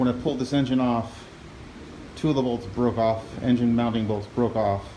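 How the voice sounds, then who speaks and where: At a moderate pace, a man talks with fairly even intonation while noticeable background noise carries on. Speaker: hobbyist lawnmower repairer. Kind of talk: casual talk to camera.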